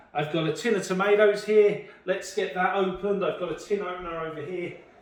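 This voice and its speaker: A man talks at a moderate pace in a high voice with fairly even intonation. The recording carries audible room echo and noticeable background noise. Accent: British. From UK. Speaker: home cook. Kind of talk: cooking tutorial. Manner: halting, with fillers and repeated words.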